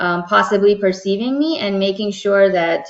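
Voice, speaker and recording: Her speech has an unremarkable speaking voice, medium pitch and moderate pace, and the speaker is a woman. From born in Dubai, Pakistani American. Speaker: diversity consultant. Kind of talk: workshop talk answering a question. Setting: video call webinar. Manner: conversational with frequent fillers.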